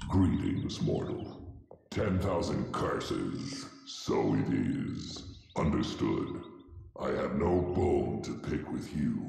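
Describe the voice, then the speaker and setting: A man in a put-on character voice, at a very slow pace, with strong echo and clear background noise. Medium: game stream. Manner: solemn, formal.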